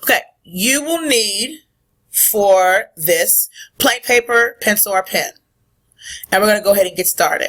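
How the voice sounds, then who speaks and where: Lively intonation at a fairly slow pace, broken by long, frequent pauses. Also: woman, fairly high pitch for a woman. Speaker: middle school teacher. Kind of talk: recorded lesson. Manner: loud.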